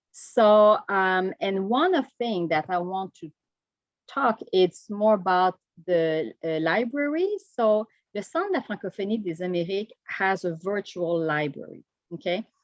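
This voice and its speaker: A woman at a medium pitch and a fairly slow pace, with ordinary pitch variation. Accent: Quebec French. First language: French. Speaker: Quebec government delegate. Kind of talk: conference presentation. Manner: halting.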